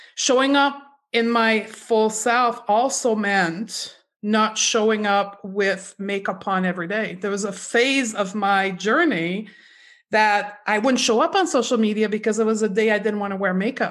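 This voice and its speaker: Against a quiet background, a woman with a fairly high pitch talks in a plain, everyday voice. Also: ordinary pitch variation, fairly slow pace. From Canada. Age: 40s. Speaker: clinical nutritionist. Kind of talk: interview.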